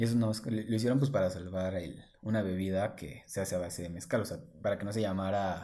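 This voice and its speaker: Speaking with a Mexican accent, a man uses a fairly low pitch and a dark, mellow tone at a fairly quick pace. His pitch variation is ordinary, and audible room echo surrounds the voice. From Oaxaca, Mexico. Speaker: real estate agent. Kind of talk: casual chat.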